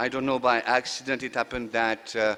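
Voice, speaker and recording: This is a man speaking. He has a French accent. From France. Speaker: conference session chair, economist. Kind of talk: chairing remarks at conference. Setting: stage with audience. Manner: halting, many fillers.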